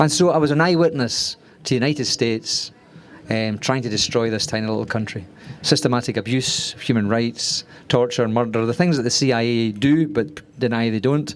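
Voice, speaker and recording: Over noticeable background noise, a man with a Glaswegian accent talks at a fairly quick pace, using a medium pitch and ordinary pitch variation. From Scotland, Glasgow. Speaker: screenwriter. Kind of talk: masterclass talk. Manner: fast; hesitant, many fillers.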